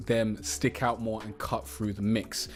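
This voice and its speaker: Music in the background behind a man's moderate pace. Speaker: music producer and rap tutorial youtuber. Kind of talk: tutorial. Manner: casual, conversational.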